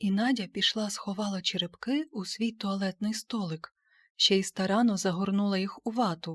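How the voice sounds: The background is quiet. A natural reading voice carries fairly even intonation.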